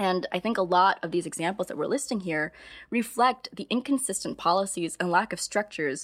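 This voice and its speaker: A woman with an ordinary speaking voice and an American accent talks at a fairly quick pace with lively intonation on a very clean recording with a silent background. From US Midwest. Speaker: podcast host, teacher. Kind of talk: casual chat.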